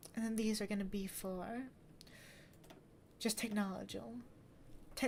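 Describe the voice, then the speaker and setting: Somewhat breathy and with fairly even intonation, the voice keeps a moderate pace with long, frequent pauses. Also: woman. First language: not English. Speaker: gaming streamer. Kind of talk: gameplay commentary.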